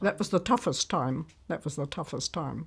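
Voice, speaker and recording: On a very clean recording with a silent background, a woman with a German accent speaks with ordinary pitch variation. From Germany, Berlin. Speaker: war survivor, retired nurse. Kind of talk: testimony.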